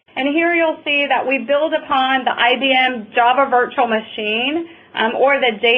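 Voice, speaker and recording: A woman speaks in a high voice. She has a Southern US accent. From US South, North Carolina. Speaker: software product presenter. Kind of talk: webinar presentation.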